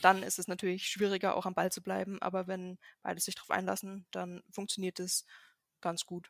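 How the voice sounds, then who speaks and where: Dry and close with no echo, a woman's medium-pitched voice runs monotone and flat at a fairly quick pace. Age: 20s. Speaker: software developer. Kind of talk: casual chat.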